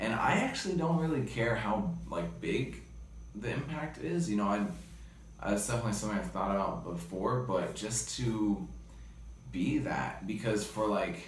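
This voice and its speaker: A man with a fairly low pitch is heard with audible room echo and light background noise. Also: moderate pace. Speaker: interviewee. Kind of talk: interview answer. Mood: reflective, earnest. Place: home room. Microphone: phone near.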